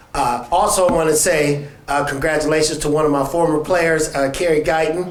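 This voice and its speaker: Speech moves at a moderate pace. Audible room echo and noticeable background noise are present. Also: man. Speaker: high school basketball coach. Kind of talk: press event speech. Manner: soft-spoken.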